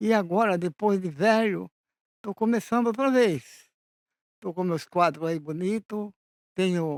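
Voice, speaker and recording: Speaking at a fairly slow pace with long, frequent pauses, a man with a high pitch and ordinary pitch variation is heard in a very clean recording with a silent background. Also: dry, close sound with no echo. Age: 80s+. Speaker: naive painter and poet. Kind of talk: interview answers.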